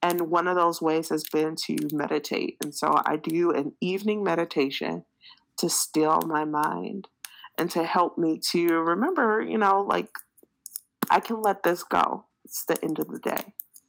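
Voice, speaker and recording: A plain, everyday voice with an American accent, fairly slow pace and ordinary pitch variation. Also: woman, fairly low pitch for a woman. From Detroit, Michigan, US. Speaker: educational trainer and tech speaker. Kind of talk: casual interview.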